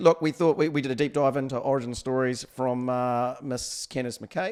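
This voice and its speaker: A man speaks with a New Zealand accent. His pitch is fairly high and his pace moderate. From New Zealand, Taranaki. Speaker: podcast co-host. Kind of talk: casual chat.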